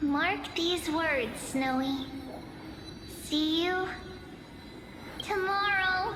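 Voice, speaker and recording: A put-on character voice speaks at an extremely high pitch and a very slow pace, with long, frequent pauses. Loud background noise fills the clip. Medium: video game. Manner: warm, laughing, affectionate.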